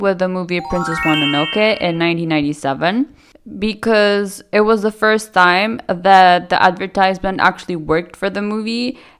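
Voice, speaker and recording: With music in the background, a woman speaks at a moderate pace with hardly any pauses. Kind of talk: video essay talk to camera. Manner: hesitant, stuttering.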